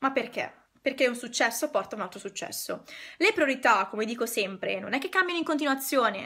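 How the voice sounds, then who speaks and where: Her voice is high-pitched, bright and sharp, with lively intonation. The woman sounds animated and moves at a fairly quick pace. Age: 20s. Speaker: decluttering consultant. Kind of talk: live stream talk to viewers. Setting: online live stream. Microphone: phone near.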